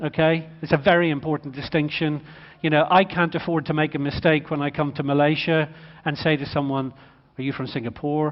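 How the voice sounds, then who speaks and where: In an Irish accent, a man speaks at a very fast pace. His pitch is fairly high. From Ireland. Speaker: motorsport executive speaker. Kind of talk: conference talk. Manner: animated.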